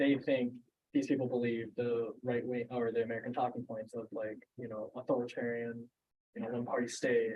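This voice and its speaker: An unremarkable speaking voice from a man, medium-pitched, moderately paced and fairly even in intonation. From born in China, grew up in US from childhood. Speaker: teach-in presenter. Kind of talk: presentation with group discussion. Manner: casual, filler-heavy speech.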